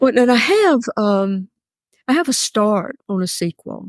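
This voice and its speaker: A woman's fairly high voice in a Mississippi accent, fairly slow and lively in intonation, with a dry, close sound and no echo. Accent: Southern US (Mississippi). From US South. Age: 80s+. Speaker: novelist. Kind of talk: interview. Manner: halting.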